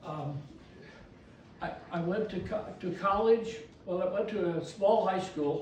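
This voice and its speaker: A man with an American accent speaks at a high pitch, with ordinary pitch variation. There is audible room echo and noticeable background noise. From US Midwest, rural farm. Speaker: elder telling his life story. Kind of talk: personal history talk to a youth group. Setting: church youth group meeting. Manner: halting, with many fillers and restarts.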